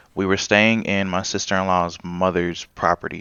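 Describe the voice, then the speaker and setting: A man speaks at a moderate pace in a very deep, low voice. His intonation is monotone and flat. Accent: American. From US, Charlotte and Los Angeles. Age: 20s. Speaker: podcast guest telling his life story. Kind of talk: casual interview.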